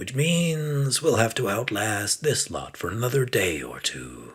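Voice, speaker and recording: This put-on character voice has lively intonation and a fairly slow pace. The recording is very clean, with a silent background. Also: man, medium pitch for a man. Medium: read story. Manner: hushed, calm, confident.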